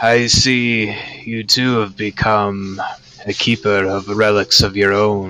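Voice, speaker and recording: Using a put-on character voice, a man speaks fairly slowly in a monotone with flat intonation. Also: fairly low pitch for a man. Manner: hushed, conspiratorial.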